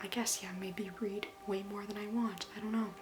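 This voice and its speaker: Music plays behind a woman speaking. Her pitch is medium. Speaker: book vlogger. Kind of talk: casual vlog. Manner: casual, hesitant with fillers.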